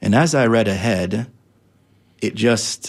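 This man speaks with an American accent. His voice has vocal fry. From Jamaican American, US (Florida). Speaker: imam. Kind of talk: interview. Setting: studio. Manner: halting, many repetitions.

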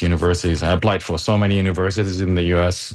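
The speaker talks at a very fast pace with an Arabic accent. The intonation stays monotone and flat. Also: man. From Gaza. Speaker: engineer. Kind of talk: interview. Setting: remote call.

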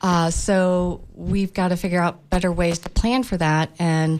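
With an American accent, a woman speaks in a plain, everyday voice, fairly low-pitched and fairly slow. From Tampa, Florida. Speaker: building industry consultant. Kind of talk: radio panel discussion. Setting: radio studio.

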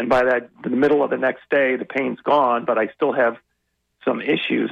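A man with an American accent, medium pitch, an ordinary speaking voice and a moderate pace. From US Midwest, Illinois. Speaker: caller. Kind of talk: call-in question on radio. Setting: phone call.

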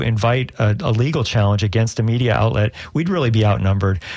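A man with an ordinary speaking voice, medium pitch, and ordinary pitch variation. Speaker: radio news director. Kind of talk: interview.

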